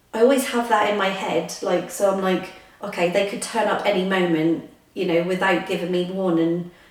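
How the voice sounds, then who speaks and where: With audible room echo and noticeable background noise, a woman talks at a moderate pace and a medium pitch. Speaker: vlogger. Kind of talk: casual vlog chat. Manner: hesitant, many fillers. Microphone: echoey room.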